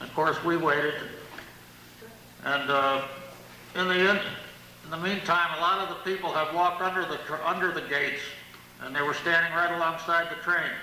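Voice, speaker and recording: A man with an American accent speaks at a high pitch, his intonation monotone and flat and his pace moderate. Noticeable background noise and audible room echo fill the recording. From US Northeast, Middletown, New York. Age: 70s. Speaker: local historian. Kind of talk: lecture.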